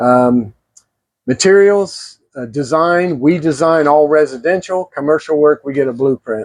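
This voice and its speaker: The sound is dry and close with no echo as a man talks at a fairly slow pace, his fairly high pitch showing ordinary variation. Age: 60s. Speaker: plumbing and gas fitting instructor. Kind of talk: tutorial. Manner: unscripted, stumbles on words; casual, conversational.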